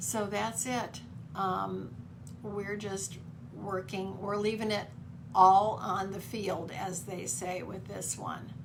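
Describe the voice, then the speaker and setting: Very slow speech with ordinary pitch variation, audible room echo and noticeable background noise. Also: woman, medium pitch for a woman. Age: 60s. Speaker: author. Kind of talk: casual chat. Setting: video call.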